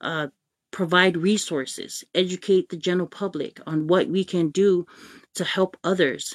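A woman with an American accent and an unremarkable speaking voice, fairly low in pitch, at a moderate pace with fairly even intonation, on a very clean, dry, close recording with a silent background and no echo. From American Samoa. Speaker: live-stream host. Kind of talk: casual live-stream talk. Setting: Facebook live stream.

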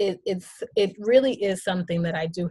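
Somewhat breathy, a woman talks fairly slowly at a medium pitch with ordinary pitch variation. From Haitian family. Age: 40s. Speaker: podcast host. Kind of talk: casual interview chat; scripted monologue.

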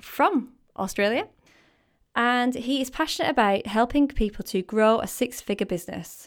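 A woman's high-pitched voice in a Lancashire accent, lively in intonation, at a moderate pace. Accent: northern English (Lancashire). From northern England (Preston, Lancashire). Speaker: podcast host interviewing a guest. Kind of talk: casual interview chat. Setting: video call.

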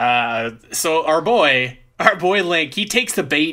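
A man speaks with a Canadian accent and a bright, sharp tone. His pitch swings very widely. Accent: Canadian, says 'eh'. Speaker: podcast host. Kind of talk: casual chat. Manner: halting, many fillers.

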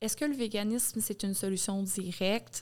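A woman with a Quebec accent talks at a fairly slow pace in a medium pitch. The recording is very clean, with a silent background. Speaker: podcast guest. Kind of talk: casual chat.

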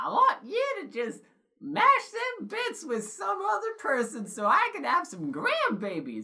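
A high-pitched, female-sounding put-on character voice at a moderate pace. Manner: comical, meddling.

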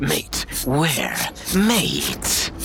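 A man uses a put-on character voice over clear background noise. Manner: gruff, incredulous.

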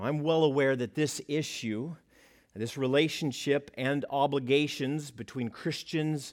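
With an American accent, a man with an ordinary speaking voice talks at a fairly slow pace in a fairly high pitch, with ordinary pitch variation. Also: very clean recording, silent background. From United States. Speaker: pastor. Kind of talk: sermon.

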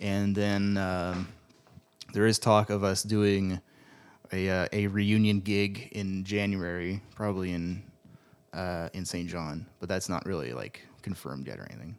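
A man speaks with a very deep, low pitch and fairly even intonation. His loudness swings widely. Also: fairly slow pace. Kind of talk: casual chat.

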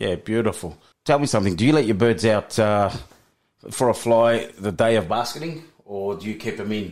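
This man has a normal speaking voice. His pitch is fairly low, with ordinary variation. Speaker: radio co-host. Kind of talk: community radio patter, casual studio banter and interview. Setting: studio. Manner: chatty, warm, upbeat and conversational, echoing and agreeing in quick bursts.

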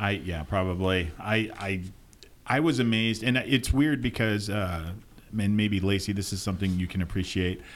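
This man has a normal speaking voice, fairly low in pitch, moving at a moderate pace with ordinary pitch variation. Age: 50s. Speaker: podcast co-host. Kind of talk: casual chat. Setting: studio.

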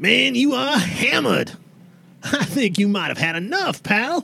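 A man talks at a moderate pace in a high-pitched voice. He is doing a put-on character voice. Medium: actual play. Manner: casual, chatty.

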